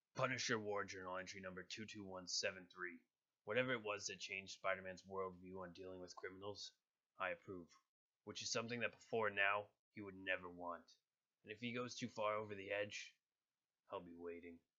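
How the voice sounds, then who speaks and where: Using a put-on character voice, a man speaks fairly quickly in a fairly low, raspy voice with monotone, flat intonation. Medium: voice reel. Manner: grim, cold.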